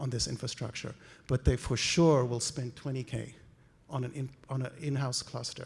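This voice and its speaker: On a very clean recording with a silent background, a man with a slight South African accent speaks at a moderate pace in a somewhat breathy, dark, mellow voice of fairly high pitch. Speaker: conference speaker, medical imaging researcher. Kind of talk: conference talk. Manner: animated.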